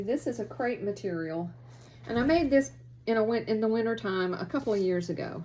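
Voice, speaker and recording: A woman's unremarkable speaking voice at a fairly quick pace, with lively intonation. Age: 60s. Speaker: sewing vlogger. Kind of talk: casual show-and-tell chat. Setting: home sewing room. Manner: chatty, conversational.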